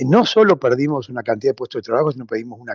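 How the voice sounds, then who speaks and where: A man with a normal speaking voice, fairly high in pitch, uses lively intonation. The sound is dry and close with no echo, and the background is quiet. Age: 60s. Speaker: social movement leader. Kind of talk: radio interview.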